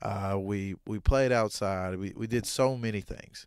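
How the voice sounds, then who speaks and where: A man talks with a Southern US accent and a fairly low pitch. His intonation is fairly even, on a very clean recording with a silent background. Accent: Southern American. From Southern US, Arkansas. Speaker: podcast host. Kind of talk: podcast monologue. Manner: casual, conversational.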